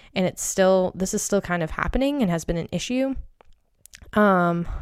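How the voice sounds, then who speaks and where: A woman speaks in a normal speaking voice at medium pitch with lively intonation. The recording is very clean with a silent background. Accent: American. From Maine, US. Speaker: podcast host and travel agent. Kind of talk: casual solo podcast talk.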